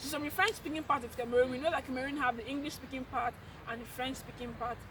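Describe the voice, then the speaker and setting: A woman uses a raised, projected voice at a high pitch. Noticeable background noise is present. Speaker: YouTuber. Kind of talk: casual chat.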